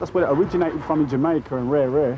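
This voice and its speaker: With a Brummie accent, a man talks at a fairly quick pace in a fairly high pitch. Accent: Birmingham (Brummie). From Birmingham, England. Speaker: reggae DJ. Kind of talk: interview.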